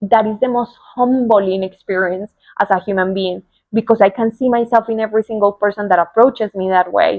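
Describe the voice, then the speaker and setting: A woman with a Spanish accent, medium-pitched, fairly quick, with fairly even intonation. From Colombia. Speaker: spiritual coach. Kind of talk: personal talk to camera. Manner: heartfelt, unscripted.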